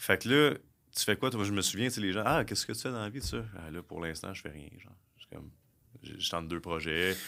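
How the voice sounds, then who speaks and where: In a very clean recording with a silent background, a man speaks at a fairly quick pace with a fairly low pitch and a bright, sharp tone. His intonation is lively, and his loudness swings widely. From Quebec (South Shore of Montreal). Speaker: recruiter and entrepreneur. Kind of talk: casual interview. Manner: halting, many fillers and repetitions.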